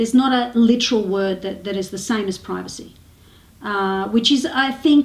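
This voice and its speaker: With an Australian accent, a woman speaks at a moderate pace and a fairly high pitch with ordinary pitch variation. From Melbourne, Australia. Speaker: actress, comedian. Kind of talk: interview answer.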